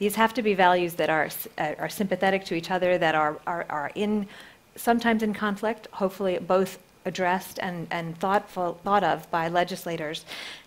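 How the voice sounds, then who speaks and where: An American accent at a fairly quick pace, with fairly even intonation. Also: woman, medium pitch for a woman. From Northern Ireland, Belfast. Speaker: privacy advocacy group head. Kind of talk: panel debate.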